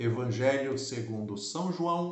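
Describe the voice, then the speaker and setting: The speech goes at a very slow pace with ordinary pitch variation. Audible room echo and noticeable background noise come through. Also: man. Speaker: pastor. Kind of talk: Bible teaching. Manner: slow, deliberate.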